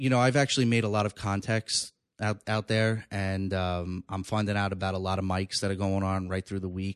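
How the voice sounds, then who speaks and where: Speaking fairly quickly with hardly any pauses, a man with a New York accent uses a fairly low pitch and fairly even intonation, the sound dry and close with no echo over a quiet background. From New York, Long Island. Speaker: stand-up comedian. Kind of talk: casual chat. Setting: studio.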